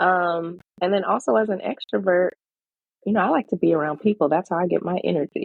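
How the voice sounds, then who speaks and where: Speaking at a fairly quick pace, a woman with a fairly low pitch keeps her loudness very even and her pitch variation ordinary. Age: 30s. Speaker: podcast guest sharing personal story. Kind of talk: casual interview conversation. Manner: fast.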